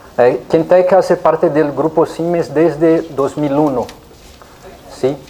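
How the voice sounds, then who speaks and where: Someone with a Brazilian accent talks at a very slow pace against noticeable background noise. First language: Portuguese (speaking Spanish). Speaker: engineering company representative, conference speaker. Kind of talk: technical lecture. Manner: hesitant, many fillers.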